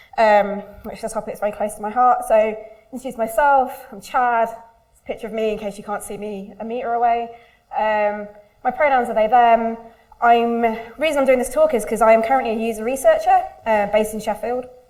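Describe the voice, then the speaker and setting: The voice moves at a fairly quick pace with big swings in loudness. Audible room echo fills the recording. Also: woman, fairly high pitch for a woman, ordinary pitch variation. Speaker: user researcher. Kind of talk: conference talk. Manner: fast.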